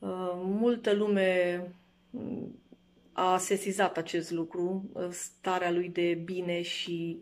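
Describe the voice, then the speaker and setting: A woman speaks, keeping her intonation fairly even. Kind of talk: interview answer. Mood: reflective, warm remembrance. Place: home room. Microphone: phone near.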